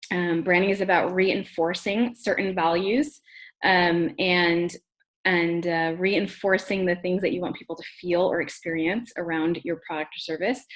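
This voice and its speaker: A woman speaks at a moderate pace with a fairly low pitch. She has a normal speaking voice. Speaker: branding trainer. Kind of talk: webinar training. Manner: casual, many fillers.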